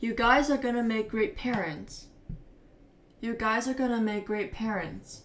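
A woman with an American accent and a fairly high pitch, at a fairly slow pace, with ordinary pitch variation and long, frequent pauses. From United States. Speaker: English teacher. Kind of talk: pronunciation demonstration. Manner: slow, clear.

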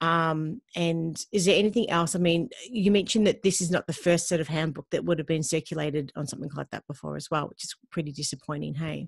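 In an Australian accent, a woman with a fairly low pitch talks at a very fast pace with ordinary pitch variation and big swings in loudness, the background quiet. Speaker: podcast host. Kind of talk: casual interview. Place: home room.

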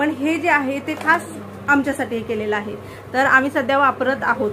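Raised, projected woman's voice with fairly even intonation amid noticeable background noise. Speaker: vlogger. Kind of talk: product review talk. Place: home room. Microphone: phone near.

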